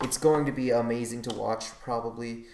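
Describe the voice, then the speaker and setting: A man speaks at a medium pitch with monotone, flat intonation. Room echo can be heard. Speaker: gaming podcast host. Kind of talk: casual solo podcast. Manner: halting, many restarts.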